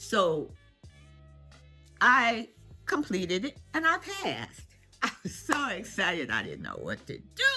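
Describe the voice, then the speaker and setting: A woman's fairly slow speech with big swings in loudness and long, frequent pauses, music in the background. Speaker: senior lifestyle vlogger. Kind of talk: casual storytelling to camera. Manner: animated, humorous.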